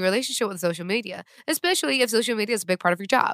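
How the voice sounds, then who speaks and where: The speech is very fast with lively intonation, recorded very cleanly against a silent background, the sound dry and close with no echo. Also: woman. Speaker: podcast host. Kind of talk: casual chat.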